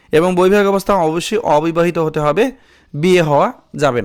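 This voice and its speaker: His intonation is lively. The man's voice is high in pitch. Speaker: YouTube job-circular tutor. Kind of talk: tutorial.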